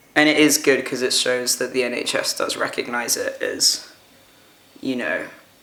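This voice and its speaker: A man speaks with a British accent at a moderate pace. Noticeable background noise runs behind him. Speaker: vlogger. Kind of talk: personal vlog. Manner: casual, hesitant with fillers.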